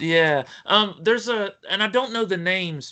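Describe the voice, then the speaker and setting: A man with a strong West Virginia accent, high in pitch, bright and sharp in tone, with lively intonation, a raised, projected voice and a fairly slow pace. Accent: thick West Virginian (Appalachian). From US, West Virginia. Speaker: writer. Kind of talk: interview. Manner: halting.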